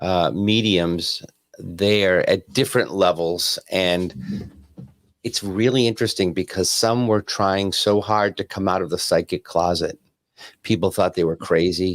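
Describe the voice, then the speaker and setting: In a normal speaking voice, a man talks at a fairly slow pace with fairly low pitch and fairly even intonation, the sound dry and close with no echo. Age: 50s. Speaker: evidential medium. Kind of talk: casual chat.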